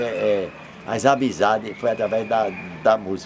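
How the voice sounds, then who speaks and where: A man is speaking. Background noise is noticeable. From Pernambuco, Brazil (Zona da Mata, Escada). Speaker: accordion player, musician. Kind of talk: interview, life story. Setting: at his home. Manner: halting, repeats words.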